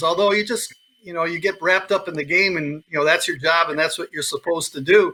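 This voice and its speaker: With a high pitch and ordinary pitch variation, a man speaks. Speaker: radio play-by-play hockey announcer. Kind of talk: sports interview answer. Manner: conversational, enthusiastic.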